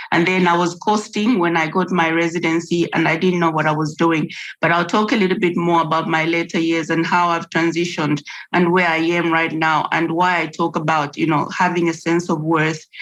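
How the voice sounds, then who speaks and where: At a fairly quick pace, a woman speaks in a fairly low pitch with monotone, flat intonation and very even loudness. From Zambia. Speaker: artist and educator. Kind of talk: personal testimony in a panel. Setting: video call. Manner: halting, many fillers.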